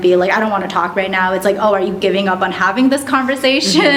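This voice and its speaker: A woman speaks at a medium pitch with ordinary pitch variation. Noticeable background noise and audible room echo surround her voice. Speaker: podcast guest sharing dating experience. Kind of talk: casual chat. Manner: fast, filler-heavy.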